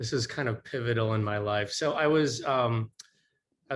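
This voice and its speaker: With an American accent, this man talks at a moderate pace in a medium pitch, with ordinary pitch variation. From US Midwest, North Dakota. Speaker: novelist and teacher. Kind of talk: panel discussion. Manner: halting.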